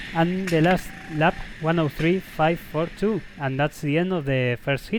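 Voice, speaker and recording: A man with a Spanish accent speaks fairly slowly in a fairly high pitch, with ordinary pitch variation and very even loudness. Noticeable background noise runs under his voice. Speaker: karting vlogger. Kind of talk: onboard video commentary. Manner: halting.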